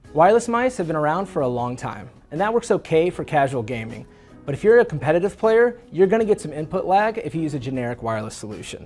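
A man rattles off his words at a very fast pace while faint music runs in the background. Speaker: presenter. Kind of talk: promotional product presentation. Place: studio. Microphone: lapel.

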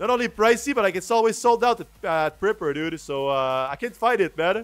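This man has a strong French accent and a high pitch, speaking at a fairly quick pace with lively intonation. The sound is dry, with no echo. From Quebec, Canada. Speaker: video game streamer. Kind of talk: live gameplay commentary. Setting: livestream. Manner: casual, chatty. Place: home room.

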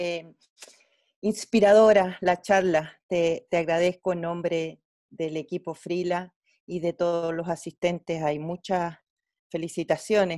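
Against a quiet background, a woman with a medium pitch and a dark, mellow tone speaks at a very slow pace. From Chile. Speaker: physician and medical educator, webinar host; medical educator, webinar host. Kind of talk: webinar moderation. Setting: video call. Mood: warm, grateful. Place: home room. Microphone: earbuds.

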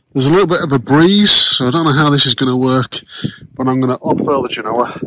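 A man is heard with noticeable background noise and a dry sound with no echo. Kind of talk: casual vlog chat. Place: boat. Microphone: phone near.

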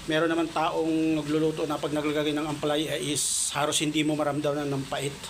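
Over noticeable background noise and audible room echo, a man with a fairly high pitch talks at a fairly quick pace with hardly any pauses, very even loudness, and monotone, flat intonation. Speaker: vlogger. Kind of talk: cooking vlog. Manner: casual.

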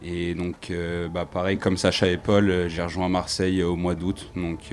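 A man speaks in a very deep, low voice at a fairly slow pace. His delivery is monotone and flat, with light background noise. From France, Haute-Savoie; France. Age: 20s. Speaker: ice hockey player. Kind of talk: interview. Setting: fair stand with audience. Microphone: handheld.

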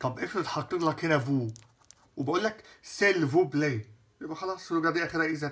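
A man with an Egyptian accent speaks at a fairly quick pace and a fairly high pitch, with ordinary pitch variation. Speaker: French teacher. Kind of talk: lecture. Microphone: phone near.

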